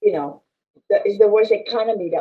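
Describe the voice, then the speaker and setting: A woman speaks with a Filipino accent. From Philippines. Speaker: business chamber president and land specialist. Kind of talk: interview conversation.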